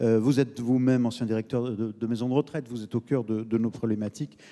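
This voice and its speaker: A man's dark, mellow voice at a moderate pace over a quiet background. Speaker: debate moderator. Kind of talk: moderator introduction. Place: stage. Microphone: handheld.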